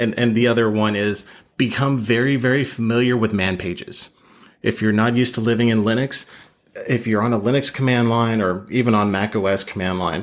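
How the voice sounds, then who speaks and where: Heard on a very clean recording over a silent background, a man speaks at a medium pitch. His pace is fairly quick and his intonation fairly even. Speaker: infosec detection engineer, guest. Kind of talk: casual podcast interview. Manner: fast.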